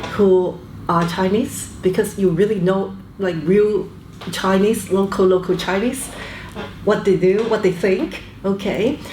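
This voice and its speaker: A woman speaks fairly slowly amid audible room echo and noticeable background noise. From Canada, born in Hong Kong. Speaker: business executive. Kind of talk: interview. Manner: hesitant fillers, frequent okay.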